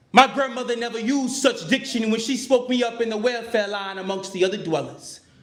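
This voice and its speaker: At a moderate pace, a man talks in an extremely high pitch, with audible room echo around him. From Chicago, South Side. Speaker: performance poet. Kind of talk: spoken word performance. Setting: stage with audience. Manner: rhythmic, emphatic.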